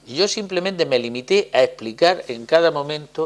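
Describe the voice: A man's fairly high voice at a fairly quick pace, with lively intonation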